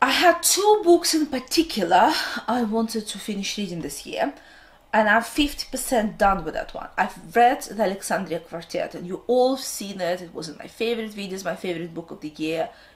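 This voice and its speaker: Speaking in a Russian accent at a moderate pace, the voice makes very wide pitch swings and big jumps in loudness against noticeable background noise. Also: woman, fairly high pitch for a woman. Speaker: book vlogger. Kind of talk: casual vlog talk to camera, unscripted.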